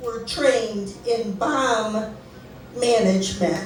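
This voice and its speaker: The delivery is very slow. Noticeable background noise and audible room echo fill the recording. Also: woman. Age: 60s. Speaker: storyteller. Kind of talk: storytelling.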